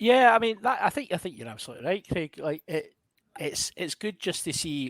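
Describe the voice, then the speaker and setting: In a Scottish accent, a high-pitched man talks at a fairly quick pace with very wide pitch swings. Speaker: podcast host. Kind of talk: casual chat.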